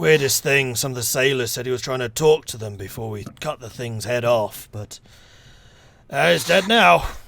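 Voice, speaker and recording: Putting on a raspy character voice, a man with a medium pitch speaks at a moderate pace. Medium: actual play. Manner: blunt, gruff, terse.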